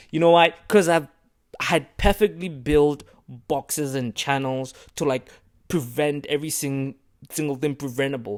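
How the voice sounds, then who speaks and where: A man with a non-native accent talks at a moderate pace in a fairly high pitch, his pitch varying in an ordinary way. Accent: has an accent, self-conscious about it. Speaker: vlogger. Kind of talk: casual monologue to camera. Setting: small room, recording to camera. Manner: animated.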